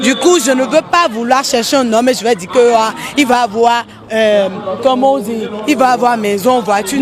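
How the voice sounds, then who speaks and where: Amid audible room echo and background music, a woman speaks at a high pitch, fairly slowly, with ordinary pitch variation. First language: English (speaking French). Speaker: street interviewee. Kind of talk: street interview. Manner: halting.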